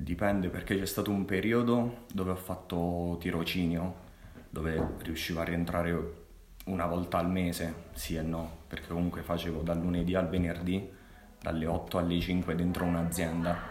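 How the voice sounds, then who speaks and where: A man with a Molise accent, very deep and low in pitch, monotone and flat in intonation, at a moderate pace with audible room echo. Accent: Molise accent (Agnone). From Italy, Molise (Agnone). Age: 20s. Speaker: engineering student. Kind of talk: casual interview chat.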